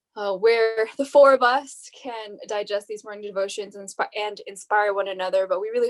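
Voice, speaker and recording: On a very clean recording with a silent background, a woman with an American accent talks at a moderate pace, her fairly high voice keeping a fairly even intonation. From US West Coast (Bay Area, California). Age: 20s. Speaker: podcast host, nursing student. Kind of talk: casual podcast chat.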